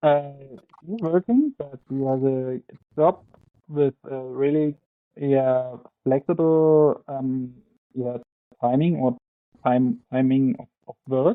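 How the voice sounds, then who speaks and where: A man with a German accent and a fairly high pitch, very slow, with long, frequent pauses, big swings in loudness and ordinary pitch variation. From Germany, Ore Mountains (Saxony). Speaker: professional biathlete. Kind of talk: interview. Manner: halting.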